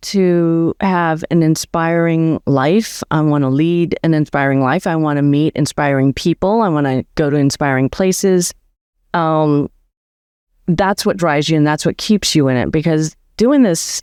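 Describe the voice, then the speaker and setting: At a fairly slow pace and fairly low pitch, a woman speaks in an ordinary speaking voice with ordinary pitch variation against a quiet background. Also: very even loudness, dry, close sound with no echo. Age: 60s. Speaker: veterinarian turned van life community founder. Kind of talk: interview conversation.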